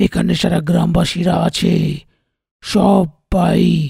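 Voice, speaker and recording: A man does a raspy, high-pitched cartoonish character voice, the sound dry and close with no echo. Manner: authoritative, stern.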